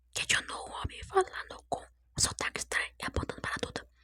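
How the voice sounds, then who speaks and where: Background noise is clearly audible. A woman whispers at a moderate pace. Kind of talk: sleep story, whispered storytelling. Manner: whispered, soft.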